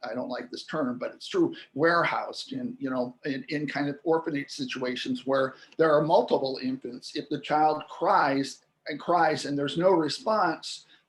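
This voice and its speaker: At a fairly slow pace, a man talks in a plain, everyday voice with a fairly high pitch. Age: 60s. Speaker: linguistics expert, interview guest. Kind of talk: interview explanation.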